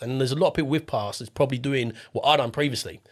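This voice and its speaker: In a very clean recording with a silent background, a man with an Estuary English accent talks at a medium pitch. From southeast England, Essex near London. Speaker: property investor. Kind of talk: podcast interview. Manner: casual, repeats words.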